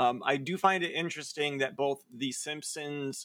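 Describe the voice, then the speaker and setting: This man's fairly high pitch comes with an American accent. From US Midwest. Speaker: podcast co-host. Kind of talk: casual chat.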